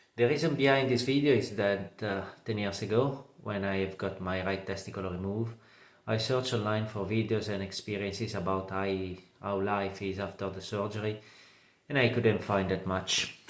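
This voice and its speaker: A man speaks with a non-native accent at a fairly low pitch. His intonation stays fairly even. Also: moderate pace. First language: not English. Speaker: cancer survivor. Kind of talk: testimony. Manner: halting, many fillers.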